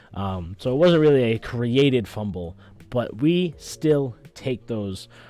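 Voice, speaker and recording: Over a silent background in a very clean recording, a man talks with lively intonation, a medium pitch and a dark, mellow tone. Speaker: sports podcast host. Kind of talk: solo sports podcast commentary. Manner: fast, stumbling over words.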